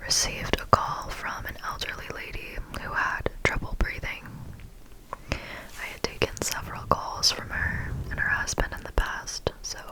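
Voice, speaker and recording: A woman whispers at a fairly slow pace. Noticeable background noise is present. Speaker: ASMR creator. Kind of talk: ASMR storytime. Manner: whispered, up-close.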